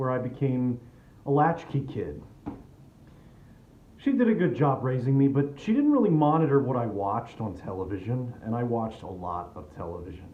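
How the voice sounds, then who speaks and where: Speaking in a normal speaking voice, a man uses lively intonation at a medium pitch and a moderate pace. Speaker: spoken word performer. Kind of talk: comedic personal storytelling monologue.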